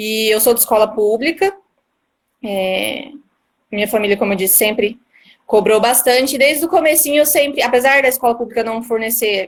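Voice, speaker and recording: At a moderate pace, a woman talks fairly high with ordinary pitch variation. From Brazil, Mato Grosso do Sul (Três Lagoas). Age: 20s. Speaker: newly appointed court analyst. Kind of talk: live-stream interview.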